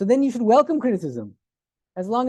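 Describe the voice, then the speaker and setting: Very fast and dark, mellow in tone, a man with an American accent is heard in a dry, close recording with no echo. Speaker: monk and philosophy lecturer. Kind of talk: lecture.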